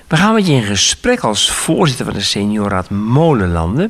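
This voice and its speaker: A man at a fairly slow pace, with very wide pitch swings and noticeable background noise. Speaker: radio interviewer. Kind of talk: interview. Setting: studio.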